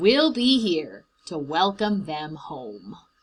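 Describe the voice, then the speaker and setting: Using a put-on character voice, a woman speaks at a very slow pace in a fairly low pitch with very wide pitch swings. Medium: read story. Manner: warm, gentle.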